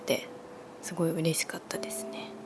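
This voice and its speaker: The woman is soft-spoken. Noticeable background noise is heard. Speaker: former idol. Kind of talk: ASMR chat. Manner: natural speaking voice, soft.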